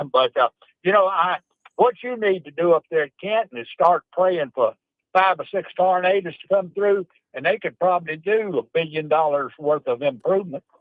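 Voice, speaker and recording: At a moderate pace, a man speaks in a high pitch with a Mississippi accent. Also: ordinary pitch variation. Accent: Mississippi Southern. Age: 70s. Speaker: caller. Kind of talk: call-in chat. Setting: phone call from car.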